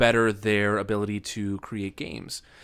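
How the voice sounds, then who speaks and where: On a very clean recording with a silent background, a man with a plain, everyday voice speaks at a moderate pace and medium pitch. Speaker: podcast host. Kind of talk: interview conversation.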